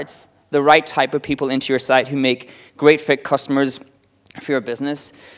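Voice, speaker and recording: A man with an Irish accent, fairly high in pitch, at a fairly quick pace. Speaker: marketing director giving a talk. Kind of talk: conference talk. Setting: stage with audience. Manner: fast.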